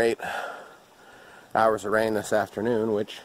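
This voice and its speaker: A man speaks at a fairly low pitch in a dry sound with no echo. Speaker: outdoor vlogger. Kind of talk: casual vlog chat. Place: open country. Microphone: phone near.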